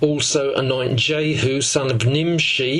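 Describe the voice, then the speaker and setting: The delivery is monotone and flat. Audible room echo and noticeable background noise fill the recording. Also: man. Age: 70s. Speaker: Bible teacher. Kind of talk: lecture.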